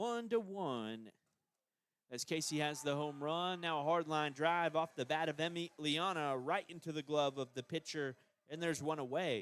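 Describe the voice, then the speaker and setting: A man with an American accent talks at a moderate pace in a fairly high pitch with ordinary pitch variation. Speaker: play-by-play radio announcer. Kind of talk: live sports commentary. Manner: animated; loud.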